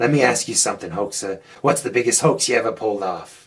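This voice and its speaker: Putting on a raspy character voice, a man rattles along at a very fast pace with medium pitch and ordinary pitch variation. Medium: cartoon.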